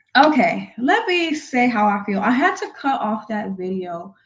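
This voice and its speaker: A woman speaks in a somewhat breathy voice. Her pitch is fairly high. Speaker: commentary channel host. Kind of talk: reaction commentary. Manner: emotional.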